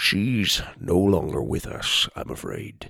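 Fairly slow delivery in a put-on character voice. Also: man. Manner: sad, subdued.

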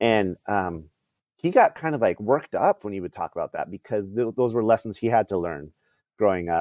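A man speaks in a plain, everyday voice, fairly low-pitched and fairly quick, with lively intonation and a dry, close sound free of echo. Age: 40s. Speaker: minor league ballpark MC. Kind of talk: casual chat.

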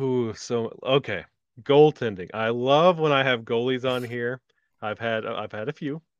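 A man with medium pitch, a plain, everyday voice, ordinary pitch variation and a moderate pace. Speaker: podcast host. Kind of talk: casual podcast chat.

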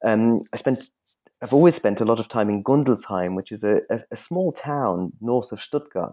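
A man with a dark, mellow tone and medium pitch talks at a moderate pace with lively intonation. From Munich, Germany. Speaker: historian and professor. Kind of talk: interview about his book. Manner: hesitant, many fillers.

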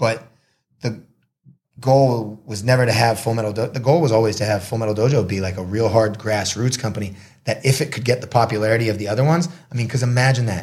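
At a very fast pace, a man talks in a somewhat breathy voice at medium pitch. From US Northeast, Marblehead, Massachusetts. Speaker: combat sports promoter and announcer. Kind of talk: casual interview. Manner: talkative, rapid with many restarts.

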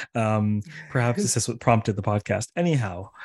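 On a very clean recording with a silent background, a man of medium pitch speaks at a moderate pace with lively intonation. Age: 40s. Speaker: academic podcast host. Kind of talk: interview. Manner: halting, many fillers and restarts.

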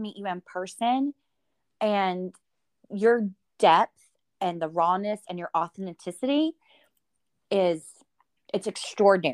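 A woman with a Southern US accent speaks at a fairly slow pace in an animated tone, her pitch varying in an ordinary way, in a dry, close sound with no echo. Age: 40s. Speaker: podcast host. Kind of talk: interview.

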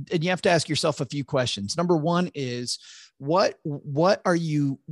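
In an American accent, a man speaks with lively intonation, the sound dry and close with no echo. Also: quiet background. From US Midwest, West Michigan. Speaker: financial advisor and podcast host. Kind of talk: interview explaining personal finance. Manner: halting, frequent repetitions.

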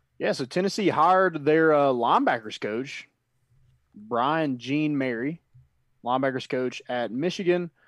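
Against a quiet background, a plain, everyday voice speaks at a fairly slow pace with ordinary pitch variation. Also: man, fairly high pitch for a man. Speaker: sports podcast co-host. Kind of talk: casual sports talk podcast.

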